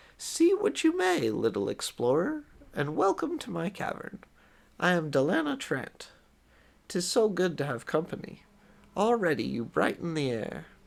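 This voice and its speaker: A man's put-on character voice, high-pitched and cackling, at a moderate pace. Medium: read story. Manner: doting, archaic-tinged.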